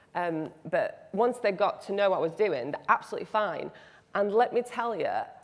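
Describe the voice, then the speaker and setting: A woman speaks with a regional British accent. Her intonation is lively and her pace moderate. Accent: regional British accent, non-RP. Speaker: biblical studies lecturer. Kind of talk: panel discussion.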